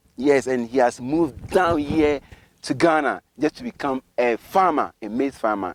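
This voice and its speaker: The voice is an ordinary speaking voice, moving at a fairly slow pace with lively intonation. The sound is dry and close with no echo, on a very clean recording with a silent background. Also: man. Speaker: YouTube interviewer / channel host. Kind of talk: vlog intro to camera. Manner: upbeat.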